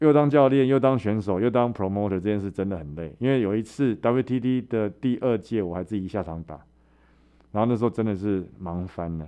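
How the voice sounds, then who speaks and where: A man speaks at a moderate pace in a fairly low pitch with a dark, mellow tone and ordinary pitch variation. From Taiwan. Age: 40s. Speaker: MMA fighter and promoter. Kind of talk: interview, personal storytelling.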